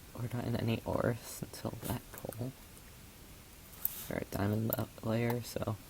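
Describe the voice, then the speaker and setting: Over noticeable background noise, a soft-spoken voice moves at a fairly slow pace. Long, frequent pauses break up the speech. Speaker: gaming streamer. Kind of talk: gameplay commentary. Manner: halting.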